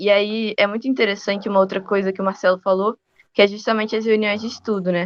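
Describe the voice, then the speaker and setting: In a Rio de Janeiro accent, a woman talks at a very fast pace with monotone, flat intonation. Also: medium pitch for a woman. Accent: Rio de Janeiro accent, noticeable. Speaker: university student. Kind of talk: podcast interview.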